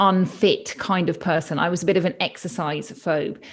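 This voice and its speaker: A woman speaks in a British accent. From UK. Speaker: pediatrician turned health coach. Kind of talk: interview.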